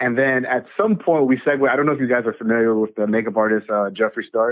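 At medium pitch, a man talks in a plain, everyday voice with ordinary pitch variation. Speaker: podcaster. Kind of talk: casual chat.

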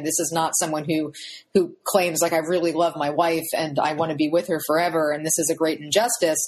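A woman with an American accent speaks at a moderate pace in a plain, everyday voice, fairly low in pitch. The background is quiet. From Pennsylvania. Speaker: history professor and author. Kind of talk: interview.

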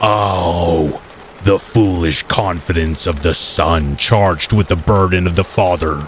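Over clear background noise, a man uses a booming, put-on character voice with a very deep, low pitch, fairly even intonation, very even loudness and a fairly slow pace. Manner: impressive, booming.

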